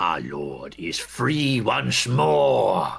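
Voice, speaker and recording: A man puts on a character voice. It is raspy and sits at a very deep, low pitch. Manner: ominous.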